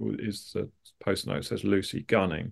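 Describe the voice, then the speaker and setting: Against a quiet background, a man in a southern English accent speaks at a fairly quick pace and a fairly low pitch. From London suburbs, England. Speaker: artist and comedian. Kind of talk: casual interview. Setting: video call.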